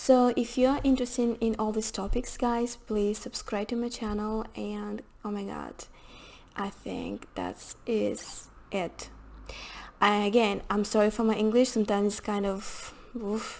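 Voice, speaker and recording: A woman with a non-native accent, fairly high in pitch, fairly slow, in a monotone, flat intonation. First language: not English. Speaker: hospitality and rental consultant. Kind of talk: tutorial. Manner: halting, many fillers.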